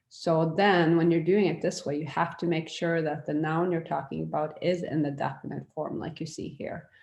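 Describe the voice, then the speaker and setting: A woman's fairly low-pitched voice at a moderate pace, with fairly even intonation, over a quiet background. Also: hardly any pauses. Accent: Norwegian. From Norway. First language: Norwegian. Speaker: language teacher. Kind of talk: online lecture. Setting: virtual classroom. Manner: casual with hesitations.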